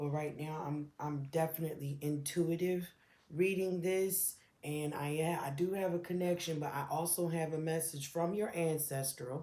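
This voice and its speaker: The voice is soft-spoken, with a dark, mellow tone. It moves at a moderate pace with fairly even intonation. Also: woman, very deep, low pitch for a woman. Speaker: tarot reader. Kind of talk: tarot reading. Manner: hesitant.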